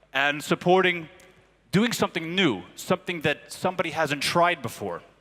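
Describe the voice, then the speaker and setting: The speaker is a man with an American accent and a high pitch. He uses ordinary pitch variation at a moderate pace. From United States. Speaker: advertising creative director. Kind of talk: conference lecture. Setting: stage at marketing conference.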